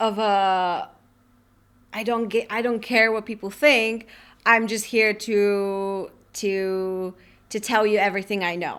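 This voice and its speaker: In a very clean recording with a silent background, a woman speaks very slowly at a fairly high pitch, her intonation flat and monotone, with long, frequent pauses. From Bulgaria. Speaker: personal branding business advisor. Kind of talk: podcast interview.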